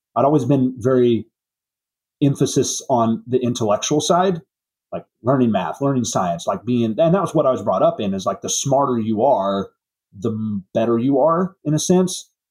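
A man with an American accent speaks at a moderate pace in an unremarkable speaking voice, his medium pitch carried by lively intonation. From Southwest Missouri. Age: 30s. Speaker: auto repair shop owner. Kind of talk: interview.

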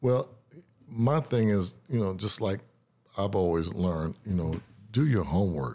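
In a very clean recording with a silent background, a man with a fairly low pitch speaks with lively intonation at a fairly slow pace, pausing long and often. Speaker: guitarist. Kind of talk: interview about music career. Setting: radio studio.

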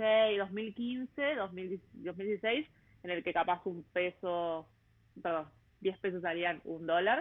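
Very slow speech in a Rioplatense accent, with ordinary pitch variation. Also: woman, medium pitch for a woman. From Buenos Aires, Argentina. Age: 30s. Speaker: travel podcaster. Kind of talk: interview conversation. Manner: hesitant, many fillers.

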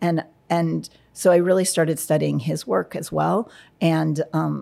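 The recording is very clean, against a silent background. The voice carries an American accent. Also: woman. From New York, US. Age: 40s. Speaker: cinematographer. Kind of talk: interview. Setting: studio.

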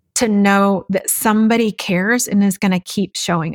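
A woman with a Texan accent speaks at medium pitch and a moderate pace, with monotone, flat intonation. The recording is very clean with a silent background and a dry, close sound with no echo. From West Texas. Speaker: nonprofit founder. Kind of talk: interview.

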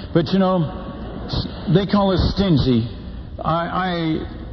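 Noticeable background noise sits behind a man's voice. He talks at a fairly slow pace with ordinary pitch variation. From Netherlands. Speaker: missionary preacher. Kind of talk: sermon. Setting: stage with audience. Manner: animated storytelling.

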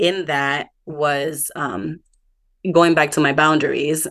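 In a quiet background, a woman with a very deep, low pitch talks at a very slow pace with fairly even intonation. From Dominican family background. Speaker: podcast host and mentor for working moms. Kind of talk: interview.

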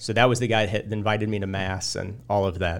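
Talking at a fairly quick pace, a man with a Midwestern American accent has a fairly low pitch. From central Illinois. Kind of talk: casual interview, personal testimony.

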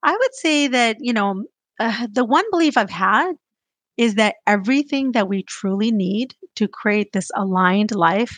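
With a quiet background, a woman speaks in an unremarkable speaking voice, fairly high in pitch, with lively intonation at a moderate pace. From US, child of immigrants. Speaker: business development executive. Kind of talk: interview.

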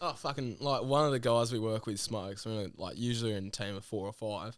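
A medium-pitched man with an Australian accent at a very fast pace. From Western Sydney, Australia. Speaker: band musician. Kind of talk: casual chat.

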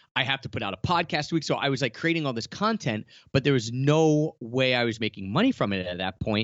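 Lively intonation runs through a man's medium-pitched voice. He talks at a very fast pace. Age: 30s. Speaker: travel blogger and podcaster. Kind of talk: interview.

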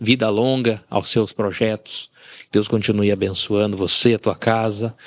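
At a fairly slow pace, a man speaks at a medium pitch with a dry, close sound with no echo. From Rondonópolis, Mato Grosso, Brazil. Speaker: blind listener. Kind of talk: recorded listener message. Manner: halting.

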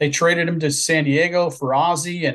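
A man keeps his intonation fairly even while talking at a moderate speed. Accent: Midwestern American. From Southwest Ohio, near Cincinnati. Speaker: author. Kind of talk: interview.

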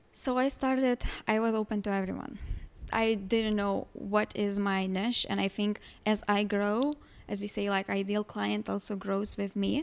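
A woman speaks with a Lithuanian accent and fairly even intonation on a very clean recording with a silent background. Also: medium pitch for a woman, moderate pace. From Lithuania, small village. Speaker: holistic life coach. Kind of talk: interview.

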